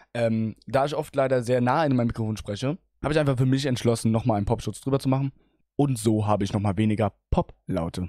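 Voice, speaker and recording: A man with a dark, mellow tone and ordinary pitch variation, dry with no echo, against a quiet background. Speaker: gaming streamer; streamer. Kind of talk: tutorial; casual tutorial chat. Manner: casual, with many filler sounds. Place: home room. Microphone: speaks very close to the mic, with pop filter; studio mic.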